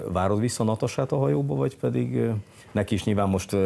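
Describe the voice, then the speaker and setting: A man speaks with vocal fry. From Hungary. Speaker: sports TV host. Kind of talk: TV interview. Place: studio. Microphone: lapel.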